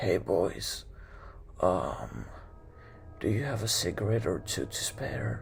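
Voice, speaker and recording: A raspy, put-on character voice from a man, at a fairly slow pace, with long, frequent pauses and clear background noise. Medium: read story. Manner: menacing.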